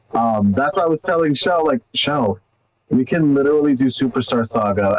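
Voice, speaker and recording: A man talks at a fairly quick pace with a medium pitch. Music plays in the background. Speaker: cosplayer and retro gaming streamer. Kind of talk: casual chat. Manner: casual, swears.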